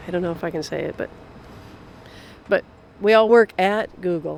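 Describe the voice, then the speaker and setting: This woman's medium-pitched voice shows ordinary pitch variation and keeps a moderate pace. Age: 60s. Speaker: commuter shuttle driver. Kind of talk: interview. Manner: casual.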